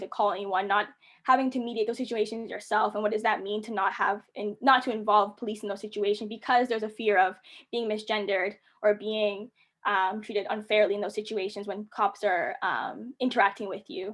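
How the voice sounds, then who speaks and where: Over a quiet background, a woman with a fairly high pitch speaks. Her pace is fairly quick, her intonation fairly even. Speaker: panelist. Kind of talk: webinar panel talk. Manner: fast.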